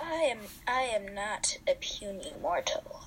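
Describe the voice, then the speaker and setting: A put-on character voice that sounds female moves at a very slow pace over clear background noise. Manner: boastful, grand.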